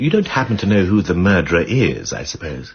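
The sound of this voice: A put-on character voice with a husky, rough edge, big pitch swings and a fairly quick pace. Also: man, low pitch for a man.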